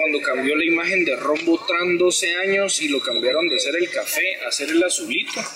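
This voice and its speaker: Noticeable background noise runs under this recording. A man with a Guatemalan accent speaks at a fairly slow pace. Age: 20s. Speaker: filmmaker. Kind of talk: casual interview chat. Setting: in person in Antigua Guatemala. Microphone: microphone problem, rescued audio.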